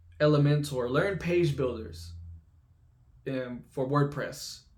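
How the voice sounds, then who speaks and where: Talking at a very slow pace with ordinary pitch variation, the speaker has an American accent and a somewhat breathy sound. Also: man. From Texas (Lufkin, East Texas). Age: 20s. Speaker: YouTuber, remote web developer. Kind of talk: casual vlog storytelling. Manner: casual with many fillers and restarts.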